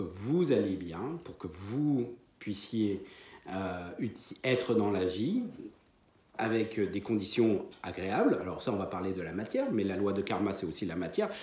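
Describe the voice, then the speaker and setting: Man at a fairly low pitch, very slow pace, lively intonation, audible room echo. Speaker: medium and spiritual teacher. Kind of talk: lecture. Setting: conference hall with audience. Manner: hesitant, many fillers.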